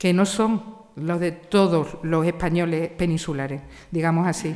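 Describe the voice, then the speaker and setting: This is a woman speaking. She talks with an Andalusian accent. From Andalusia, Spain (Seville). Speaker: literature professor. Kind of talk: panel discussion.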